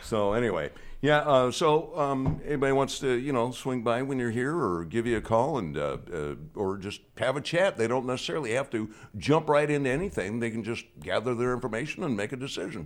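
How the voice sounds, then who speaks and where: Lively in intonation, a man speaks at a medium pitch and a fairly quick pace. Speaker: radio host. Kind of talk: casual chat. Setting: studio. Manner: halting.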